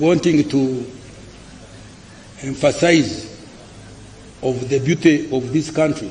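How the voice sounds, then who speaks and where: Noticeable background noise sits behind a man with a fairly high-pitched voice. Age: 80s+. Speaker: finance minister. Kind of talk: budget speech. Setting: parliament. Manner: halting.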